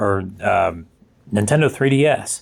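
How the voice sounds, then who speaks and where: Ordinary pitch movement in a fairly low male voice. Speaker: YouTuber and game magazine collector. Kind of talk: casual show-and-tell video. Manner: halting, many fillers.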